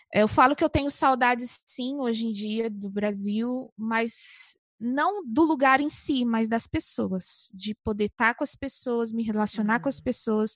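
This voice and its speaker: Speaking in a Brazilian accent at a fairly slow pace with hardly any pauses, a woman with a fairly high pitch and ordinary pitch variation sounds dry and close with no echo against a quiet background. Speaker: missionary. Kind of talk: casual chat.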